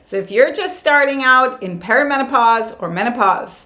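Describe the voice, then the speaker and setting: A woman is speaking. There is audible echo from the room. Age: 60s. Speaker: yoga and wellness vlogger. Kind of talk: casual advice talk to camera. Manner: animated.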